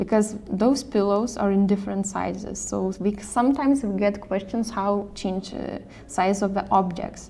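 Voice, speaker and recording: A woman speaks with a non-native accent at a medium pitch. Her intonation stays fairly even. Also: moderate pace, hardly any pauses. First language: not English. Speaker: software tutorial presenter, design support staff. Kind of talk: tutorial. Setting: screen recording or live stream. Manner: halting, with fillers and self-corrections.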